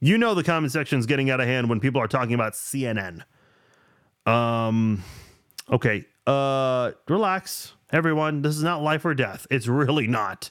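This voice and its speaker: A man with a normal speaking voice talks at a moderate pace and medium pitch with lively intonation. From immigrated to the US as a child from abroad. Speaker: sports podcast host. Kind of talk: casual solo sports podcast with live chat comments.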